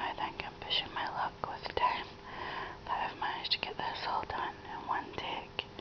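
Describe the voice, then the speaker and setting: A soft-spoken woman is whispering. Noticeable background noise can be heard behind her. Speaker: crafting vlogger. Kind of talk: casual vlog chat. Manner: soft ASMR whisper, slow with pauses. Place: home room. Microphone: phone near.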